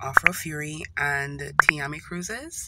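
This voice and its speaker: A woman talks at a very slow pace over loud background noise. The sound is dry, with no echo. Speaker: vlogger. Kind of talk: casual vlog chat. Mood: upset, in pain. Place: car. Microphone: phone near.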